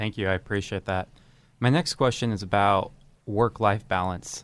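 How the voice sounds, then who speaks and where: At a moderate pace, a man with a fairly low pitch and ordinary pitch variation talks in a normal speaking voice. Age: 20s. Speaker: young professional. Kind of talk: interview questions. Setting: studio.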